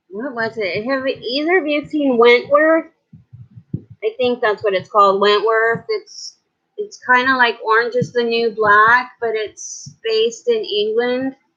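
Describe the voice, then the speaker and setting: A woman's high voice with lively intonation at a fairly slow pace. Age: 40s. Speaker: beauty and chat vlogger. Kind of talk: casual live-stream chat with viewers.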